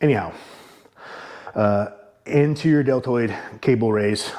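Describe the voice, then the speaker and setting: A man speaks with lively intonation and a dark, mellow tone. Room echo is audible around his voice. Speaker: fitness vlogger. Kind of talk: casual workout vlog talk. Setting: home garage gym. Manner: halting, out of breath while lifting.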